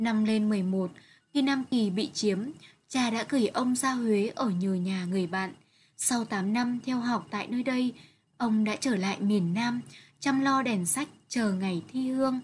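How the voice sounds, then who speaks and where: A woman's fairly high, somewhat breathy voice at a very slow pace, with very even loudness, over a quiet background. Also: ordinary pitch variation. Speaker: literature teacher. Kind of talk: lecture.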